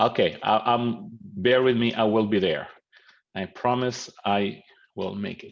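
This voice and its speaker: A man with an Italian accent talks at a fairly slow pace in a medium pitch with ordinary pitch variation. His loudness swings widely. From Italy. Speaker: professor and mediator. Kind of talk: lecture. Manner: halting.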